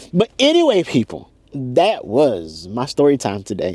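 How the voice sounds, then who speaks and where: A man's animated tone, with a dry, close sound and no echo. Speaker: vlogger. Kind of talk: casual storytime monologue. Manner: fast.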